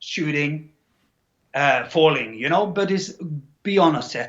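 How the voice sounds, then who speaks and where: With a Scandinavian accent, a man talks in a high voice. His intonation is lively and his pace moderate. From Norway. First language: Norwegian. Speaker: actor and bodybuilder. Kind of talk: interview. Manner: halting, repeats words.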